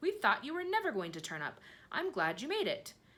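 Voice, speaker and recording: An extremely high-pitched put-on character voice from a woman. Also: fairly quick pace. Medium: read story. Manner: dignified.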